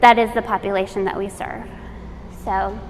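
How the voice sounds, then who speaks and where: A woman talks at a medium pitch with fairly even intonation. Noticeable background noise runs under her voice. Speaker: arts educator, nonprofit director. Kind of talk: workshop presentation. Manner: halting, self-correcting.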